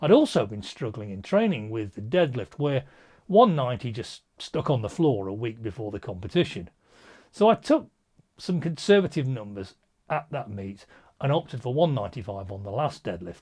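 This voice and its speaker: A man with an English accent talks at a moderate pace in a medium-pitched, somewhat breathy voice. His delivery has very wide pitch swings and big swings in loudness, captured in a very clean recording with a silent background. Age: 60s. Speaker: powerlifting coach. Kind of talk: vlog monologue.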